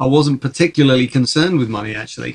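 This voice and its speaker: A man's fairly high voice, with a London accent. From Czech Republic (Prague), then England. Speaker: film and TV composer. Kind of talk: casual interview.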